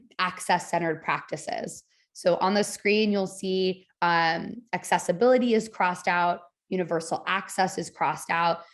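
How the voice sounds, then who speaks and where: In a plain, everyday voice, a woman speaks at a fairly slow pace with a fairly low pitch and fairly even intonation. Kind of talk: webinar presentation.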